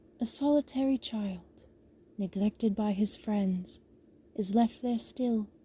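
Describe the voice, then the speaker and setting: A woman's put-on character voice, fairly high in pitch and at a fairly slow pace. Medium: read story.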